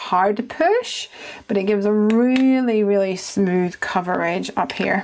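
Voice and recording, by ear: A woman speaks at a slow pace with ordinary pitch variation. Her tone is slightly mellow.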